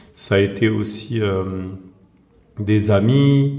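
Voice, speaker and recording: A man keeps his intonation fairly even while audible room echo fills the space. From France, Seine-Saint-Denis (Saint-Ouen, Saint-Denis). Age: 40s. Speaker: author and screenwriter. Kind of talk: podcast interview. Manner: hesitant, many fillers.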